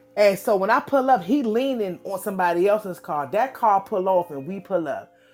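Talking at a moderate pace, a woman delivers the lines. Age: 40s. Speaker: podcast co-host. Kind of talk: casual chat.

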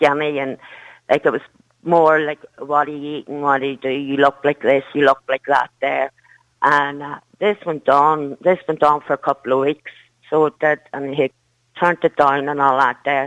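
A woman's very deep, low voice in a strong Derry accent, monotone and flat, at a moderate pace with long, frequent pauses. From Northern Ireland, Derry. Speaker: caller, mother. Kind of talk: phone-in radio call.

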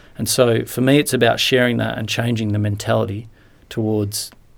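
In an Australian accent, a man with a fairly low pitch speaks at a moderate pace in a monotone, flat intonation. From rural Western Australia (Lake Grace). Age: 30s. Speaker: former footballer, mental health advocate. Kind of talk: interview.

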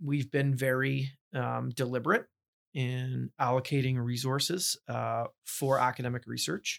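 Speaking with a Canadian accent, a man has an ordinary speaking voice at medium pitch with fairly even intonation. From Ontario, Canada (Burlington). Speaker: university president. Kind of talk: interview conversation.

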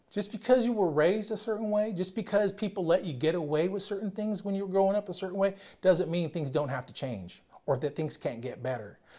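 A loud man with a high pitch and a dark, mellow tone, talking at a very fast pace with lively intonation on a very clean recording with a silent background. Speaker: pastor. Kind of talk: sermon. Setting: church. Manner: loud talker; hesitant, repeats words.

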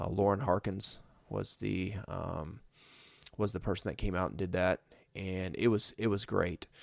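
A man with an American accent talks at a fairly slow pace, his very deep, low voice carrying vocal fry. His intonation stays fairly even, and the recording is very clean with a silent background. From northern Indiana. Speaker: chiropractor and podcast host. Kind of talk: casual storytelling monologue. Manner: halting, many fillers and restarts.

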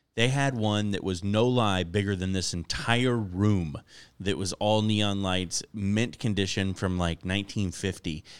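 In a very clean recording with a silent background, a man with an American accent and an ordinary speaking voice talks fairly slowly at a fairly low pitch, his intonation fairly even. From Florida. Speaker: comedian. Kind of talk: casual chat. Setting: studio.

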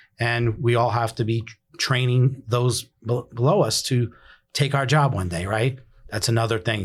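A somewhat breathy man speaks with a New York accent and ordinary pitch variation in a very clean recording with a silent background. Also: medium pitch for a man, moderate pace. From New York City (Bronx). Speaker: emergency dispatch director. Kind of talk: casual interview.

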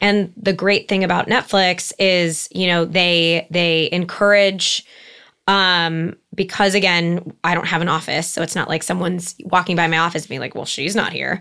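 In a Californian accent, a woman speaks at a moderate pace with a fairly low pitch and a monotone, flat intonation. Her tone is bright and sharp, on a very clean recording with a silent background. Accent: Californian American English. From Los Angeles, San Fernando Valley. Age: 30s. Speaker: entertainment marketing executive. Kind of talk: interview conversation. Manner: halting, many fillers.

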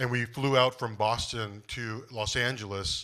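Over a quiet background, a man speaks at a medium pitch with a bright, sharp tone and monotone, flat intonation. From US, Korean-American family. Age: 40s. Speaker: pastor. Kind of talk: live podcast conversation. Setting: live event with audience.

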